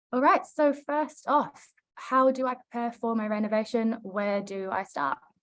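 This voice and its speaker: Lively intonation from a woman with a New Zealand accent, at a fairly high pitch and a moderate pace. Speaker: project consultant. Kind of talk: webinar presentation. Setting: online webinar.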